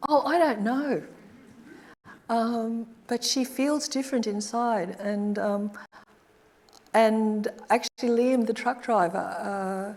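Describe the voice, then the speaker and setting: Long, frequent pauses break up a woman's very slow speech with an Australian accent. Her pitch is fairly high, with ordinary variation. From Australia, Brisbane. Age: 70s. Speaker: artist. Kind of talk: audience Q&A after lecture. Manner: halting, hesitant.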